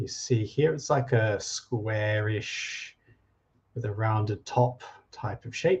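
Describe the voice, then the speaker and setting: Somewhat breathy, a man's voice creeps along very slowly. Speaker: occult and folklore streamer. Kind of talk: live stream talk. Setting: live stream on camera. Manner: casual, chatty.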